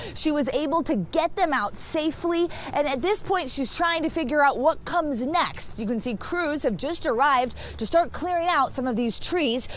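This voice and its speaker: The speech moves at a moderate pace with lively intonation and hardly any pauses. Noticeable background noise is present. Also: woman. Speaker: TV news anchor and reporter. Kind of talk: TV news anchor and field reporter delivery.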